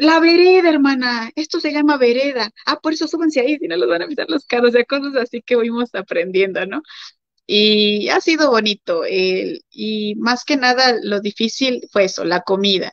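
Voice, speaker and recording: At a moderate pace, a woman with a high voice makes very wide pitch swings. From Mexico. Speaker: missionary's wife. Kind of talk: interview. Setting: livestream.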